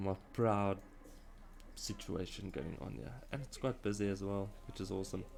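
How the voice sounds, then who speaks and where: A man with a South African accent speaks at a moderate pace and a fairly low pitch. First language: Afrikaans. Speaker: video game streamer. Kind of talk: live game stream commentary. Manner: halting.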